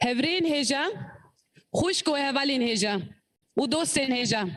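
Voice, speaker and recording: A woman with a Kurdish accent speaks at a moderate pace with ordinary pitch variation, and room echo is audible. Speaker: opening speaker of the organisation. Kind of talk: speech. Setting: conference hall.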